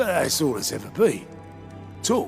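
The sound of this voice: A man's put-on character voice, fairly high in pitch, slightly mellow, with vocal fry, very wide pitch swings, a fairly slow pace, and faint music in the background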